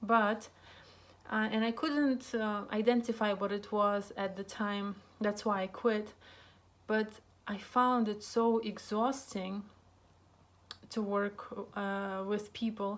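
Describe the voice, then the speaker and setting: In a Russian accent, a woman talks very slowly at a fairly high pitch, her intonation monotone and flat, with long, frequent pauses. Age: 30s. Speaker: psychotherapist and vlogger. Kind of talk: casual monologue vlog. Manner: halting, many fillers.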